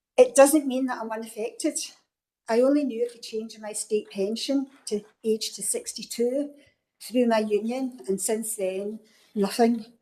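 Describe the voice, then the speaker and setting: A woman speaks in a Scottish accent at a moderate pace. Her intonation is fairly even, though her loudness swings a lot. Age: 60s. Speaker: local councillor. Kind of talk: council meeting speech. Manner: formal.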